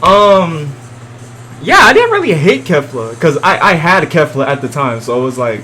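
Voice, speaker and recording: Noticeable background noise fills the space around a man as he speaks. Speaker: gaming YouTuber. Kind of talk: reaction video commentary. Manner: loud; casual, hesitant.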